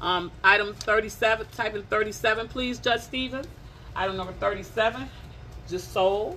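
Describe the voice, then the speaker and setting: A woman with an American accent talks in an animated tone with ordinary pitch variation over light background noise. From Detroit area, Michigan. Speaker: live-stream clothing seller. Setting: Facebook live stream from a shop. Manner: playful and teasing, chatty. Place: shop.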